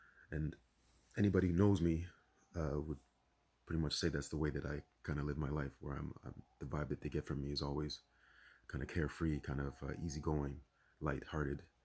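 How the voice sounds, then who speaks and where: A man's very deep, low voice with vocal fry, fairly even intonation, a fairly quick pace and long, frequent pauses. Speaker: spiritual vlogger. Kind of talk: casual monologue. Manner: fast; halting.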